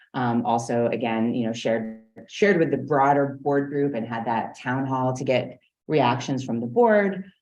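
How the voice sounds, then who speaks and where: A woman speaks with an American accent at a very deep, low pitch with ordinary variation. Room echo can be heard. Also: moderate pace. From New York. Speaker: strategic planning consultant. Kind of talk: business presentation. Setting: board meeting.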